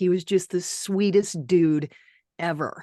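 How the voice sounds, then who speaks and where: A woman speaks fairly slowly, and the background is quiet. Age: 60s. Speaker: podcast host, radio broadcaster. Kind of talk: casual interview chat. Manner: animated.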